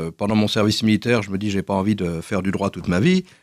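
Speaking very fast, a man uses a fairly low pitch. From France, Paris region. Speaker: association director. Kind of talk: radio interview. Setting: studio. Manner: halting, repeats words.

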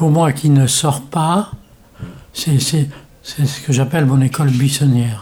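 A somewhat breathy man's voice, fairly high in pitch, dark and mellow in tone, with fairly even intonation, very even loudness and a very slow pace. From Morocco. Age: 80s+. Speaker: day care centre visitor, retired medical rep. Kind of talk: interview. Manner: halting.

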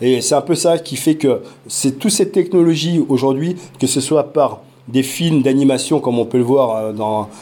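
A medium-pitched male voice at a fairly slow pace, ordinary pitch variation, and noticeable background noise. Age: 40s. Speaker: parent and virtual reality project lead. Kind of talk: interview. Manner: hesitant, many fillers.

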